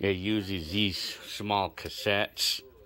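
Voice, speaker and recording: Bright, sharp tone from a man at a fairly low pitch, with fairly even intonation. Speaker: hobbyist vlogger. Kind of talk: casual vlog chat. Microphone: phone near.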